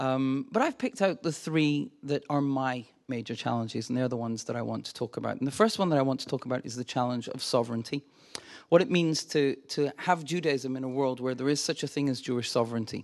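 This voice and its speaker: At a very fast pace, a man with a medium pitch speaks in an animated tone with ordinary pitch variation. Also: quiet background. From Glasgow, Scotland. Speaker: visiting scholar and lecturer on Judaism. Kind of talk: lecture. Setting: lecture hall with audience. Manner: friendly, humorous, animated.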